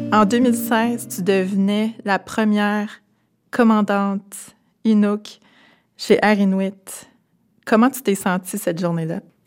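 Over music in the background, a woman of medium pitch talks at a very slow pace with fairly even intonation and long, frequent pauses. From Quebec, Témiscamingue First Nation. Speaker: podcast host. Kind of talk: interview. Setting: aircraft hangar.

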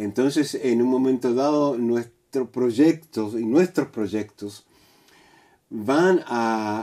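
A man speaks at a very slow pace. His pitch is medium and his tone dark and mellow. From Chile. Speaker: actor. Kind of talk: interview. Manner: halting.

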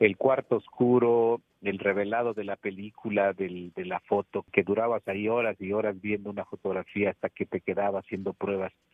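Intonation is monotone and flat at a moderate pace. Hardly any pauses break the speech. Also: man, fairly low pitch for a man. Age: 60s. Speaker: photojournalist. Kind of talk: interview. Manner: hesitant, with fillers.

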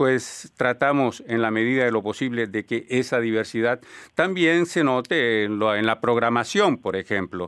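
A man speaks at a fairly slow pace with ordinary pitch variation. He has an ordinary speaking voice, and the background is quiet. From Colombia. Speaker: radio host. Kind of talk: radio panel discussion. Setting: studio.

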